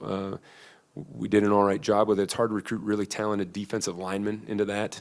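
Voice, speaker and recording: The recording is very clean with a silent background. A man with a slight Midwestern accent talks at a fairly quick pace. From US Midwest. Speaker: football coach. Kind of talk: press conference. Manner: halting, many fillers.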